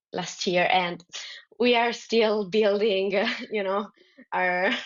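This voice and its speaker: A woman in an Italian accent at medium pitch, with fairly even intonation, a very slow pace and long, frequent pauses. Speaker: dodgeball player. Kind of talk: podcast interview. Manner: halting, many fillers.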